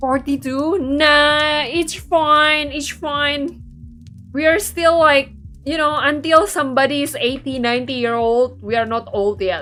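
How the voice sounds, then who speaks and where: A raised, projected voice at a fairly slow pace, with music in the background. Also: woman, high pitch for a woman, ordinary pitch variation. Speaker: VTuber game streamer. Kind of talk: casual livestream chat while playing a game. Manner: chatty, conversational with many fillers.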